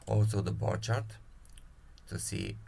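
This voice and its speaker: Audible room echo surrounds a man with a non-native accent speaking at a moderate pace. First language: not English. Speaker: spreadsheet tool creator. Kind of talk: software tutorial. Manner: halting, many fillers.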